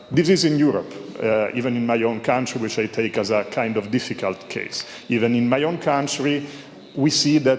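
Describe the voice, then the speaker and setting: A man with an Italian accent speaks at medium pitch with fairly even intonation. Audible room echo and noticeable background noise are present. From Italy. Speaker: audience member asking a question. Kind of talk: conference Q&A question. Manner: halting, many fillers.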